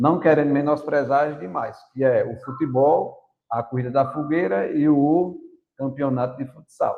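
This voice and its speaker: A normal speaking voice at a moderate pace. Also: man. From Brazil, Paraíba sertão (Princesa Isabel). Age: 60s. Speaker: teacher and runner. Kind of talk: podcast interview.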